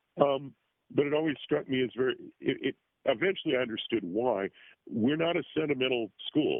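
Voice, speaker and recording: A man speaks at a medium pitch. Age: 60s. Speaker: former esoteric school student and teacher. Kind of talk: interview. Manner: halting.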